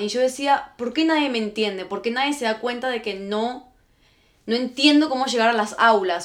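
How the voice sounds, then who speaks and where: A woman with a plain, everyday voice speaks at a moderate pace, her pitch fairly high with ordinary variation. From Argentina and Guatemala. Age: 20s. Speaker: podcast host. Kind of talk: casual chat.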